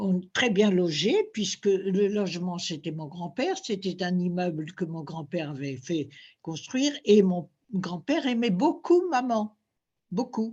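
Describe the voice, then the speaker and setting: Speech comes at a very slow pace and is somewhat breathy. The intonation is lively. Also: woman, medium pitch for a woman, quiet background. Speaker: former fashion model. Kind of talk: interview. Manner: halting.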